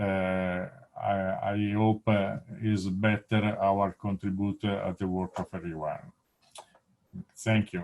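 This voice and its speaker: A man at a very slow pace and fairly low pitch, with monotone, flat intonation and long, frequent pauses. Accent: Italian. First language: Italian. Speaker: presenter at an academic webinar. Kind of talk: conference presentation. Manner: halting, many fillers.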